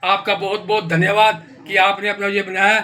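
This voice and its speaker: A man speaks in a raised, projected voice at a high pitch, with monotone, flat intonation. Noticeable background noise is present. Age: 70s. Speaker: vlogger. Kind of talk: casual vlog commentary. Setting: home kitchen.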